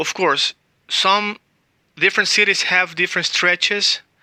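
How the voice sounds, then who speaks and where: A high-pitched man in a Spanish accent, bright and sharp in tone, at a moderate pace, with a dry, close sound and no echo. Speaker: language teacher. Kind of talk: tutorial.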